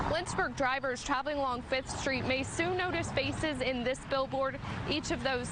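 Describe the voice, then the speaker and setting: There is noticeable background noise as a woman talks at a high pitch. Her intonation is fairly even. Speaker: TV news reporter. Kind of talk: TV news field report.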